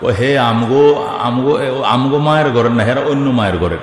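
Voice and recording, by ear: Someone speaks at a fast pace with lively intonation, and audible room echo surrounds the voice. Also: man, medium pitch for a man.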